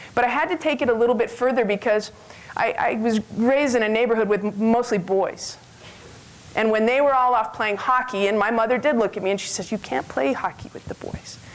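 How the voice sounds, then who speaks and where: Noticeable background noise sits behind a woman's voice. She speaks at a fairly high pitch and fairly quick pace with ordinary pitch variation. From western Canada. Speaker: health club owner and former basketball player. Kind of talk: conference talk. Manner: loud.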